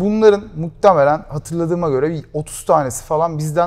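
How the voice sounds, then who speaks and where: This man's voice sits fairly high in pitch, moving at a moderate pace with ordinary pitch variation. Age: 20s. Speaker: startup founder; guest. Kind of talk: interview. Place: studio. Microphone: lapel.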